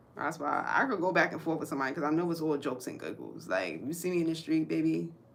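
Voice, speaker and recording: A woman talks at a very fast pace in a very deep, low pitch. Her pitch varies in an ordinary way, with audible room echo. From New York, Brooklyn. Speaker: livestream host and crocheter. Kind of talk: casual livestream chat while crocheting. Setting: home art studio room. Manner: animated.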